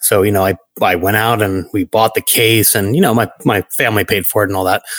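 A man speaks at a moderate pace in an American accent, with fairly low pitch and fairly even intonation. His loudness is very even, and the sound is dry and close with no echo. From Brooklyn, New York. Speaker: networking industry executive. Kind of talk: interview conversation.

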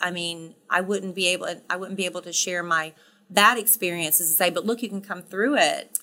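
A woman talks at a fairly quick pace. Hers is an ordinary speaking voice at a medium pitch. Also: fairly even intonation, big swings in loudness. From US South, South Carolina. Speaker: radio co-host. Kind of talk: casual interview.

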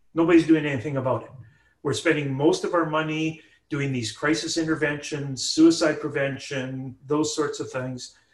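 In a Canadian accent, a man speaks at a moderate pace with a fairly high pitch, somewhat breathy and in a flat monotone. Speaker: professor. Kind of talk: interview.

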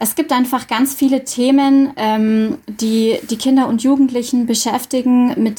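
A woman with a high-pitched voice speaks at a fairly slow pace, keeping her intonation fairly even. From Bavarian Swabia (Dillingen district). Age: 30s. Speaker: school social worker. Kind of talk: radio interview.

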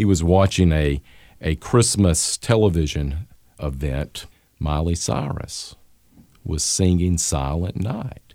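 Speaking very slowly with a Southern US accent, a man has a very deep, low pitch and a dark, mellow tone. His pitch varies an ordinary amount. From US Gulf South. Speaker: history professor.

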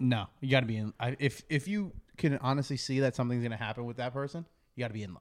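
A man speaks at a very fast pace in a medium pitch with ordinary pitch variation. His loudness swings widely. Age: young. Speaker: podcast guest. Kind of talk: casual chat.

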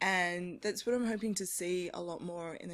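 A woman with an Australian accent at medium pitch, moderate pace, and a very clean recording over a silent background. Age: 30s. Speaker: women's football editor. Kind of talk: casual chat. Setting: stage with audience.

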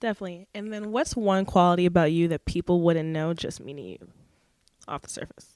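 In an unremarkable speaking voice, a woman talks at a fairly quick pace and a fairly low pitch, with ordinary pitch variation, big swings in loudness and a dry, close sound with no echo. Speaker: podcast host. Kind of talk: casual interview chat.

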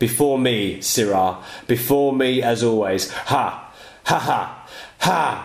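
Doing a cackling put-on character voice, a man speaks at medium pitch and a fairly slow pace with ordinary pitch variation and audible echo. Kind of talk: archaic, theatrical. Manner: cackling, triumphant.

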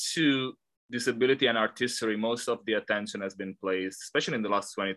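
Dry and close with no echo, a man talks very fast in an Italian accent at a medium pitch, with ordinary pitch variation and a bright, sharp tone. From Italy. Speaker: art historian, professor. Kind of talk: academic interview. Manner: halting, many fillers.

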